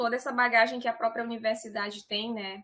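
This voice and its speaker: Her voice is fairly high, bright and sharp, with a northeastern Brazilian accent. The woman keeps her intonation fairly even. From Piauí, northeastern Brazil. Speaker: civil engineer, university environmental department director. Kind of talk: online talk presentation.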